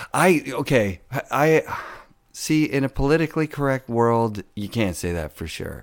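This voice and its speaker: At a fairly slow pace, a man with a normal speaking voice and a medium pitch uses lively intonation in a very clean recording with a silent background. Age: 40s. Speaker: podcast host. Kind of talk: casual interview. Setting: guest's garage.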